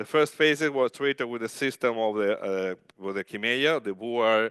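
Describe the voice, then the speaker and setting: Recorded dry and close with no echo against a quiet background, a man speaks at a medium pitch and moderate pace with ordinary pitch variation. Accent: Italian. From Italy, Genoa. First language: Italian. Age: 50s. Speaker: rehabilitation physician. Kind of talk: conference talk. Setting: stage with audience. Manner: loud; halting.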